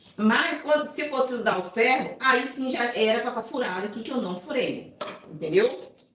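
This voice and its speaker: Over noticeable background noise and audible room echo, a woman speaks at a high pitch with lively intonation. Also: moderate pace. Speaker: cake decorator and baking teacher. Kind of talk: live tutorial. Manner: soft-spoken; casual, chatty.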